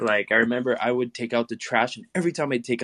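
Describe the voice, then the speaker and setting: A man at a very fast pace in a Quebec accent, medium pitch with ordinary variation, in a dry, close sound with no echo. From small-town Quebec. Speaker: outdoor adventurer. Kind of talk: casual chat.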